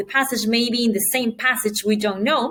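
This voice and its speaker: Noticeable background noise sits behind the voice. A woman speaks at a fairly high pitch with fairly even intonation. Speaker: test prep teacher. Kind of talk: tutorial. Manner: fast.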